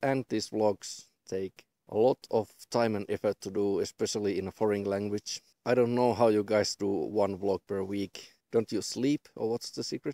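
A man speaks at a moderate pace with a fairly low pitch, a dark, mellow tone and fairly even intonation, recorded as a dry sound with no echo over a quiet background. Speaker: vlogger. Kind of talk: casual vlog chat. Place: open country.

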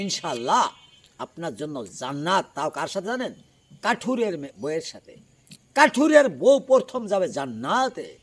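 Speaking in a high voice, a man makes very wide pitch swings and big jumps in loudness. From Dhaka, Bangladesh (Old Dhaka). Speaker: Islamic preacher. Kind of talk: sermon.

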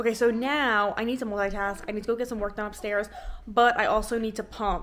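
A woman speaks with a bright, sharp tone. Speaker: lifestyle vlogger. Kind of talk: casual vlog chat. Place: home room. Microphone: phone near.

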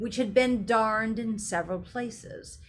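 Natural-voiced reading aloud, start to finish

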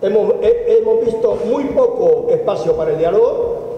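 A man talks fairly slowly, and audible room echo follows his voice. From El Salvador. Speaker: opposition party politician. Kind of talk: press statement. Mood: critical, earnest. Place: hall. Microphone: podium.

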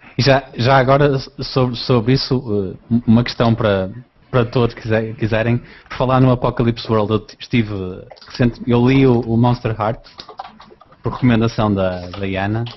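Speech with fairly even intonation moves at a fairly slow pace, broken by long, frequent pauses over noticeable background noise. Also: man, medium pitch for a man. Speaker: RPG podcaster. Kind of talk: casual chat. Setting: video call.

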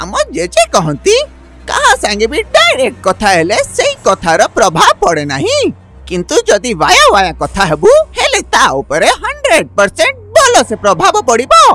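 A cartoonish character voice moves at a fairly slow pace. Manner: confident, lecturing.

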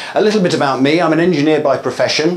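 Here a man speaks with ordinary pitch variation. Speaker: conference speaker. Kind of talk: lecture. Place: hall.

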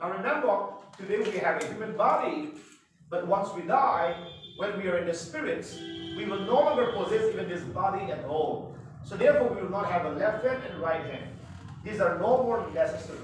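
With music in the background and strong room echo, a man talks at a fairly quick pace. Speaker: Bible class teacher. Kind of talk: lecture. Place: classroom. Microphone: camera far.

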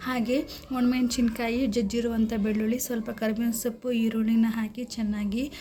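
Noticeable background noise accompanies a woman's voice. She speaks at a fairly high pitch with monotone, flat intonation. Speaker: cooking vlogger. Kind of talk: cooking tutorial vlog narration.

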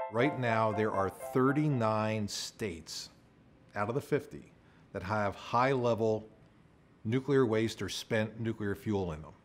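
Faint music plays in the background as a man with a fairly low pitch speaks very slowly with ordinary pitch variation. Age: 60s. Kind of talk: documentary interview. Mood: calm, occasionally amused. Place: home room. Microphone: lapel.

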